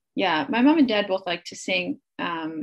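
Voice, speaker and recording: A woman with an American accent talks at a fairly slow pace. Her somewhat breathy voice makes very wide pitch swings. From US Midwest, rural Wisconsin. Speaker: singer-songwriter and actor. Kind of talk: casual interview chat.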